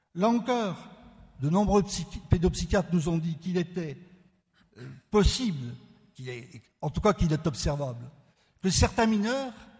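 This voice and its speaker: A man speaks in a high pitch at a fairly slow pace, his voice rising and falling in very wide swings. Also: long, frequent pauses. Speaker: law professor. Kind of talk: conference talk.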